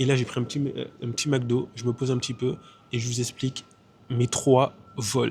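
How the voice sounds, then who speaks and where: A man speaks at a moderate pace in a medium pitch with monotone, flat intonation. His delivery is broken by long, frequent pauses. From Martinique. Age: 20s. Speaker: travel vlogger. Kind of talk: casual vlog talk. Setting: airport.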